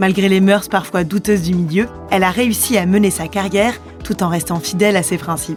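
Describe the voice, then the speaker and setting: Music plays in the background as a woman speaks at a moderate pace and a medium pitch, with ordinary pitch variation. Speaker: podcast host. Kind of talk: podcast introduction.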